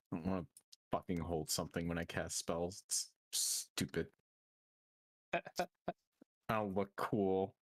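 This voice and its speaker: Using a put-on character voice, a man rumbles at a very deep, low pitch with fairly even intonation, big swings in loudness, a fairly slow pace and long, frequent pauses. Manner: grumbling to herself, irritable.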